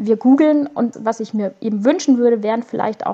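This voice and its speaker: A woman's fairly high pitch rises and falls in an ordinary way, in an ordinary speaking voice. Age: 30s. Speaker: caregiving mother and blogger. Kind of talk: podcast interview.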